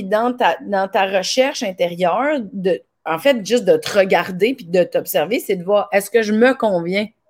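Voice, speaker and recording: Speaking at a fairly slow pace in a Quebec accent, the voice shows very wide pitch swings. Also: woman. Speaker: podcast host and comedian. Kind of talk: casual interview.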